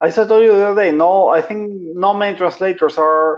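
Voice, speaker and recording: A man speaks with a Venezuelan accent. His intonation stays fairly even. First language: Spanish. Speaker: translator and copywriter. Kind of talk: casual chat.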